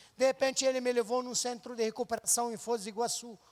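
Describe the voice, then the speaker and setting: Extremely high-pitched male voice at a fairly quick pace. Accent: Lebanese. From Lebanon (Beirut). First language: Arabic (speaking Portuguese). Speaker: missionary. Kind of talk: testimony.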